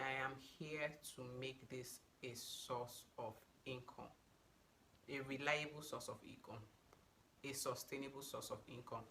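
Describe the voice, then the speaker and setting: Very slowly, a woman with a Nigerian accent speaks at a very deep, low pitch. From Nigeria, Abuja (FCT), North Central. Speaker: beauty and lifestyle YouTuber. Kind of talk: casual get-to-know-me vlog. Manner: animated.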